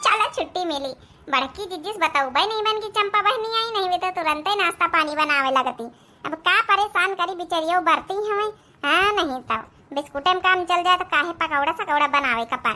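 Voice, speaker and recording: A cartoonish character voice moves at a moderate pace with lively intonation. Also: woman, extremely high pitch for a woman. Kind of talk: rustic Awadhi comedy. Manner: chatty, folksy.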